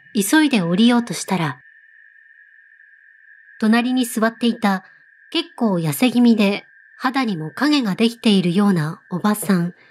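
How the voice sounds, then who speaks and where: A woman speaks fairly slowly and somewhat breathily. Her pauses are long and frequent. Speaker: ghost story narrator. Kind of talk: story reading. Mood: calm, eerie storytelling.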